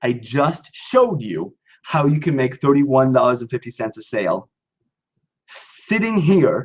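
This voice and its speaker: An animated, somewhat breathy man with a fairly high pitch, lively intonation and a fairly slow pace. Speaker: acting business coach. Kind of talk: live webinar. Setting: live online webinar.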